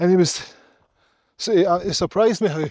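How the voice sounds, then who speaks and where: A high-pitched man speaks at a fairly quick pace with a Glaswegian accent and ordinary pitch variation. The recording is very clean, with a silent background. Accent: Glaswegian Scottish. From Scotland, Glasgow. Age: 40s. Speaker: hiking vlogger. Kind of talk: casual vlog monologue. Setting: outdoors on a mountain hike. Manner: animated.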